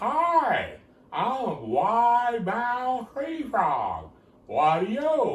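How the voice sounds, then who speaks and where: A man's put-on character voice, extremely high in pitch and very slow, with audible echo. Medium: solo performance.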